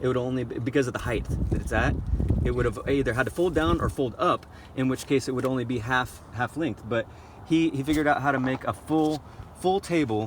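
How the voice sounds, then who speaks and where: Noticeable background noise under a man's fairly quick delivery at a medium pitch, with ordinary pitch variation. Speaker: nomadic shepherd. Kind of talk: interview answer. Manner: stuttering, hesitant.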